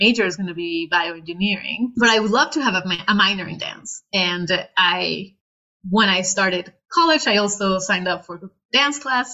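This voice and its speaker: The speaker uses lively intonation and a fairly quick pace, with a Spanish accent. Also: woman. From northern Mexico, Reynosa. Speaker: PhD student in biomedical engineering. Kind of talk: interview.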